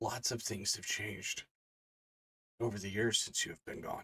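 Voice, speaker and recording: A man's put-on character voice at medium pitch, dry and close with no echo. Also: moderate pace. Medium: actual play. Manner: cryptic, measured.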